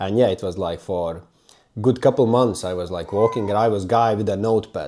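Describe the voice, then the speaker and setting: A man's fairly low, dark and mellow voice at a moderate pace, with ordinary pitch variation, in a very clean recording with a silent background. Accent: non-native. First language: not English. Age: 30s. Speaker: self-development YouTuber. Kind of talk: personal story monologue. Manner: halting.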